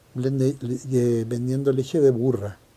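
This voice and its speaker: This man has a medium pitch and a dark, mellow tone. He talks in a Chilean accent. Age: 70s. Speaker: longtime neighbourhood resident. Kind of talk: oral history interview answer.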